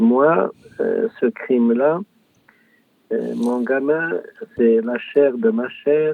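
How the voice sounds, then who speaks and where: A man speaks at a very slow pace with long, frequent pauses. His fairly high voice makes very wide pitch swings. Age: 70s. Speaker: author, bereaved father. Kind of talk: interview testimony. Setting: small booth in coworking space. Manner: emotional.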